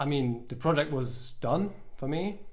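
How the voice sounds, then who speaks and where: A man with a British accent and a fairly high pitch speaks amid audible room echo. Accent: British-leaning English. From Luxembourg. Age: 20s. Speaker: musician. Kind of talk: casual chat. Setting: livestream. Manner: halting.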